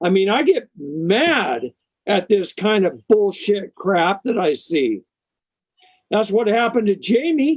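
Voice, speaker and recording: A man speaks at a very slow pace in a high pitch. His pitch swings very widely. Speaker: legal rights speaker. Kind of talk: interview talk. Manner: animated.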